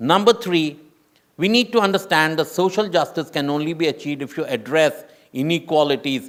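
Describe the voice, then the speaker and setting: Using a plain, everyday voice, a man with fairly high pitch and lively intonation talks at a moderate pace. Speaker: UN official panelist. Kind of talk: panel discussion.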